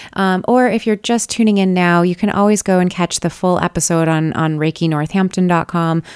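In an ordinary speaking voice, a woman speaks with ordinary pitch variation, the sound dry and close with no echo on a very clean recording over a silent background. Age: 30s. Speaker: podcast host and Reiki practitioner. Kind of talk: casual interview chat.

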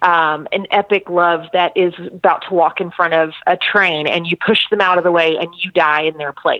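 The woman's voice is fairly low in pitch and monotone, with flat intonation. She talks with hardly any pauses. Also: moderate pace. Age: 40s. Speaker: author and teacher. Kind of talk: interview.

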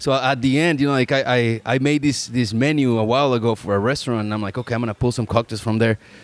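A man with a Spanish accent, medium pitch, very fast pace, hardly any pauses and fairly even intonation. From Mexico. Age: 30s. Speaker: podcast host. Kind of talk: casual chat.

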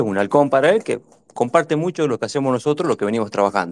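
A man speaks at a medium pitch. It is a plain, everyday voice. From Neuquén, Argentina. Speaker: party activist. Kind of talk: casual chat.

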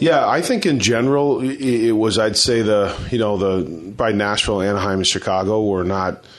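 With hardly any pauses and very even loudness, a man speaks at a fairly low pitch in a plain, everyday voice. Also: ordinary pitch variation, moderate pace. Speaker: hockey head coach. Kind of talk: post-game press interview. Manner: measured, conversational, filler-heavy.

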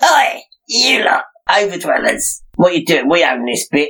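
In a put-on character voice, a female-sounding voice speaks at a moderate pace with a medium pitch and a raspy sound. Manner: hostile, challenging.

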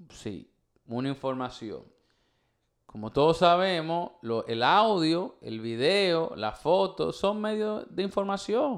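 Very slow speech with very wide pitch swings over a quiet background. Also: man, high pitch for a man. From Dominican Republic. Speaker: podcast host. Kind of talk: casual chat.

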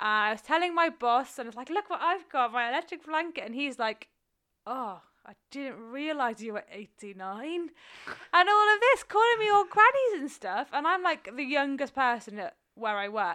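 Raised and projected, a woman's high voice has a bright, sharp tone, very wide pitch swings and big swings in loudness at a moderate pace. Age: 20s. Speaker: podcast co-host. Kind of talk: casual chat. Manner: laughs often.

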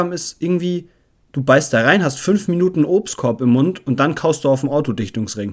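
On a very clean recording with a silent background, a man with a fairly high pitch talks at a moderate pace with ordinary pitch variation. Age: 20s. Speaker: podcast host. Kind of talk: casual solo monologue. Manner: animated. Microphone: new batteries and battery pack for the mic.

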